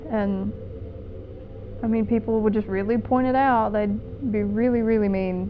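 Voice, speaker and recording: A woman with an Appalachian accent, fairly high in pitch, at a moderate pace with fairly even intonation, music in the background. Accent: Appalachian US Southern. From eastern Kentucky mountains. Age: 20s. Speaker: documentary subject, aspiring filmmaker. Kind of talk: documentary interview.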